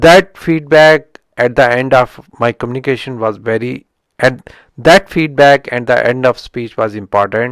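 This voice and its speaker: A man speaks with a strong Indian accent. The sound is dry and close, with no echo. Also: medium pitch for a man, ordinary pitch variation, fairly slow pace. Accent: heavy Indian accent in English. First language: Indian language. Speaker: software engineering YouTuber. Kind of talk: book review talk. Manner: halting, with frequent restarts.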